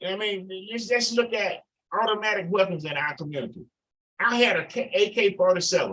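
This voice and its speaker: A man's raised, projected voice, bright and sharp in tone, at a fairly quick pace. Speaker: Vietnam war veteran. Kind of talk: radio talk show discussion. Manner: animated.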